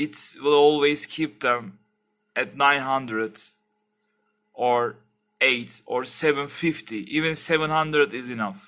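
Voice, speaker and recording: A man's fairly high voice with a bright, sharp tone and a non-native accent, fairly slow, with long, frequent pauses, ordinary pitch variation and a quiet background. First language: not English. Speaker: tech YouTuber. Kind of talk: tutorial. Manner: halting; casual. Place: home room. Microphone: headset.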